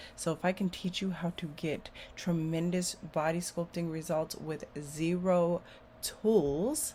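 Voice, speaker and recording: At a very slow pace, a somewhat breathy woman with a fairly low pitch speaks with fairly even intonation. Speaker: beauty entrepreneur and body sculpting instructor. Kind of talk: casual monologue to camera.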